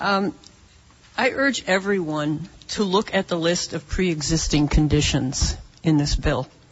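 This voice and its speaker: A woman with a plain, everyday voice, fairly low in pitch, at a fairly slow pace with lively intonation. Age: 60s. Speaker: audience member at town hall. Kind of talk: public question at town hall. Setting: town hall meeting room.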